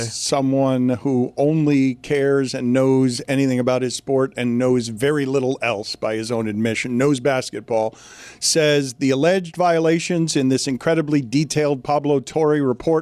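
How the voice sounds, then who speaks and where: A man with an unremarkable speaking voice talks at a moderate pace and medium pitch, with ordinary pitch variation, very even loudness and hardly any pauses. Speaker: sports talk show host. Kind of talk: sports talk radio commentary.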